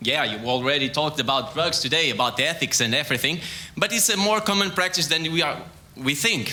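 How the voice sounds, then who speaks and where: This man speaks very fast with a Portuguese accent, his fairly high pitch carrying lively intonation at a very even loudness. There is audible room echo and noticeable background noise. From Portugal. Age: young. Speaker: sports scientist. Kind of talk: science talk. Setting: stage with audience. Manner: halting.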